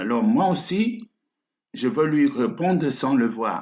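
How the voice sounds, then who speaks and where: Very slow speech with vocal fry and very wide pitch swings. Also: man. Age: 70s. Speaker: pastor. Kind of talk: sermon.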